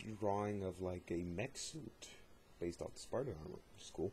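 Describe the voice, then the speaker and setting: A man's somewhat breathy voice, fairly low in pitch, at a fairly quick pace. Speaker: YouTube channel host doing a dramatic reading. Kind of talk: dramatic reading of a fictional journal.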